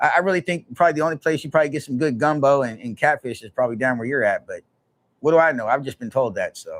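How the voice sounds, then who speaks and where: Very fast and fairly high-pitched, a man speaks with big swings in loudness in a dry, close sound with no echo. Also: ordinary pitch variation. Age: 40s. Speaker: livestreamer. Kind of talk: casual chat.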